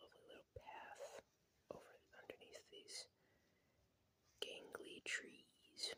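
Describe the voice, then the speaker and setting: Someone whispers in a relaxed tone at a very slow pace. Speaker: ASMR creator. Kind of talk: ASMR card showcase. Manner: whispered, relaxed.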